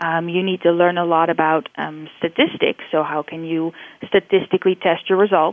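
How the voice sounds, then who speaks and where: Speaking at a moderate pace, a woman with a Dutch accent uses a medium pitch. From Netherlands. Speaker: professor and neuroscientist. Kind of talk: interview. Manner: halting, frequent fillers.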